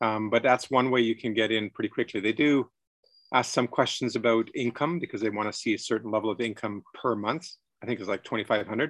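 A man with a plain, everyday voice speaks at a fairly quick pace and medium pitch with fairly even intonation. The background is quiet and the sound is dry and close with no echo. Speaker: presenter's husband. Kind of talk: casual chat. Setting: video call.

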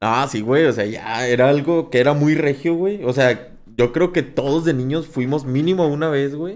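Here is a man with an ordinary speaking voice and a fairly high pitch. His pace is moderate, and his pitch variation is ordinary. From Monterrey, Mexico. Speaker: podcast host. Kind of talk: casual chat.

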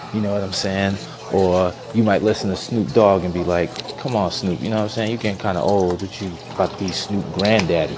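There is noticeable background noise as a man speaks at a fairly quick pace in a fairly low voice. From New York. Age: 30s. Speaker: educator. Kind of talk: casual monologue. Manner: animated.

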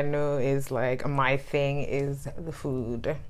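Room echo can be heard. A woman talks in a very deep, low pitch. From Ghana, Accra. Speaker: podcast guest. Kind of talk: casual chat.

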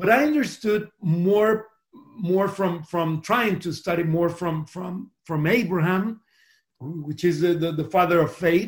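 High-pitched male speech, fairly slow in pace. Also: ordinary pitch variation. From Costa Rica. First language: Spanish. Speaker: pastor. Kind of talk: interview. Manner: halting.

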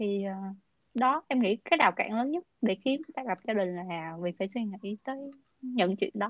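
At a fairly slow pace, a woman talks in an ordinary speaking voice with medium pitch and ordinary pitch variation. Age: 20s. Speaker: podcast host. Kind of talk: casual interview.

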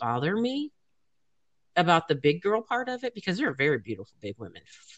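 A woman with an American accent talks at a fairly quick pace with vocal fry. Her pitch swings very widely. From USA. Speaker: podcast host. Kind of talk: casual chat. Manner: animated.

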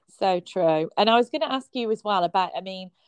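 Speaking with a British accent at a fairly quick pace, a woman uses a medium pitch, recorded with a dry, close sound and no echo. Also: quiet background. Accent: regional British. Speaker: podcast host. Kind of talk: casual interview.

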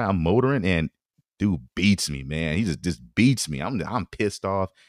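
Using an ordinary speaking voice with an American accent, a man talks at a fairly quick pace and fairly low pitch with lively intonation. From US West Coast, San Francisco Bay Area. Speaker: former college football player. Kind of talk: casual chat.

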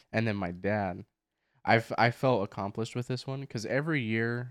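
Recorded with a dry, close sound with no echo and a quiet background, a man speaks with fairly even intonation. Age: 20s. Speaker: podcast co-host. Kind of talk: casual chat. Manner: loud. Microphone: new microphone.

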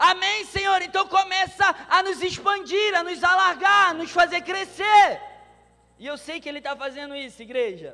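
This man's voice is raised and projected, with an extremely high pitch. He keeps a moderate pace, with ordinary pitch variation and big swings in loudness. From Brazil. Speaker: pastor. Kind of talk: sermon. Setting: church conference with live audience.

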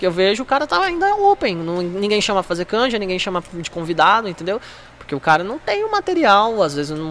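Over noticeable background noise, a man with a high pitch talks at a fairly quick pace using lively intonation. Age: 20s. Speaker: stand-up comedian and former taekwondo athlete. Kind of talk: casual chat.

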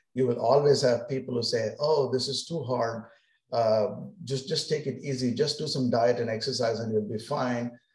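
Fairly even intonation shapes the somewhat breathy speech of a man. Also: medium pitch for a man, moderate pace. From India. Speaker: physician. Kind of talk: interview.

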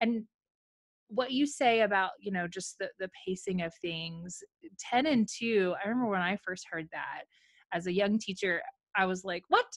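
Delivered at a moderate pace with ordinary pitch variation, a normal speaking voice comes through with a dry, close sound and no echo. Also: woman, medium pitch for a woman. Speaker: podcast host and coach. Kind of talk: interview chat.

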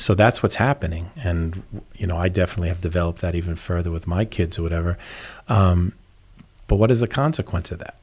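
Very deep and low, a man's voice comes out at a very fast pace. It sounds somewhat breathy, with ordinary pitch variation. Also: very clean recording, silent background. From New York. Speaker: charity development director. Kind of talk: casual interview chat.

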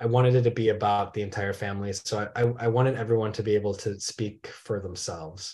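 A man with an American accent speaks very fast at a fairly low pitch, his dark, mellow tone somewhat breathy and his intonation fairly even. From Michigan, small town. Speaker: documentary filmmaker. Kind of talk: interview. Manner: repeats words, slight stammer on starts.

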